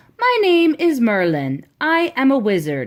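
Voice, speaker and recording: A woman speaks in a put-on character voice with a high pitch. Her pace is fairly slow. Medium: read story. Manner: patient, instructive.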